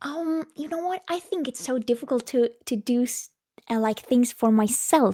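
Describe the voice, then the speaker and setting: On a very clean recording with a silent background, a woman with a Norwegian accent speaks at a moderate pace in a high voice, with a dark, mellow tone and lively intonation. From Norway. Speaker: singer-songwriter. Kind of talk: interview. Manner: halting.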